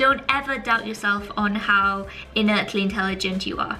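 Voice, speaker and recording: Music plays in the background. A woman with a British accent speaks in an animated tone. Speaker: YouTuber, student vlogger. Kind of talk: casual vlog advice. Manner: fast.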